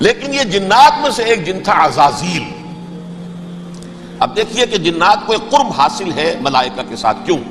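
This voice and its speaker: Over noticeable background noise, a man's high-pitched voice makes very wide pitch swings. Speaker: Islamic scholar giving a religious lecture. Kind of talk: Islamic sermon (bayan). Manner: emotional, earnest, explanatory.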